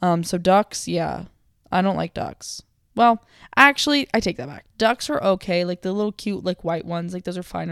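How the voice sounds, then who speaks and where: The recording is very clean, with a silent background. A woman with a fairly low pitch talks with lively intonation and big swings in loudness. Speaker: solo podcaster. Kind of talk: casual monologue. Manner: fast; mumbling.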